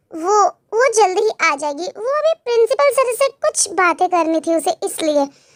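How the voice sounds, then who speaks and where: Putting on a character voice, a woman speaks at an extremely high pitch. Her pitch swings very widely. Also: moderate pace. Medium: fan dub.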